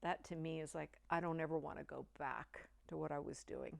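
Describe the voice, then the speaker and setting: On a very clean recording with a silent background, a woman with an American accent talks at a moderate pace. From Oregon, US Pacific Northwest. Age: 60s. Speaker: resort guest, nurse and small business owner. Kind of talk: testimonial interview. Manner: halting, with false starts.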